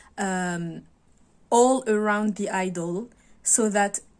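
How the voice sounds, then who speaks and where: A woman speaks very slowly with a French accent at medium pitch. Her intonation is fairly even, on a very clean recording with a silent background. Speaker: video blogger. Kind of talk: casual monologue to camera. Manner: halting, many fillers and restarts.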